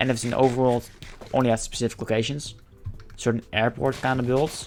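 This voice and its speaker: Noticeable background noise sits behind a man who speaks with a Dutch accent at a medium pitch. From Netherlands. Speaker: gaming streamer. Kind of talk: casual gameplay commentary. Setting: live stream. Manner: fast.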